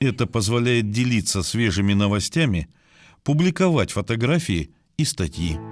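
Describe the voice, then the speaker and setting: A man at a medium pitch, moderate pace and very wide pitch swings, with music in the background. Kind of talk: documentary narration.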